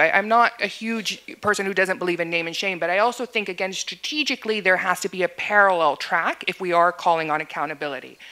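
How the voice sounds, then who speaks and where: The voice races along at a very fast pace, with lively intonation and a bright, sharp tone. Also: woman. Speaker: women's rights advocate. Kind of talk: panel discussion.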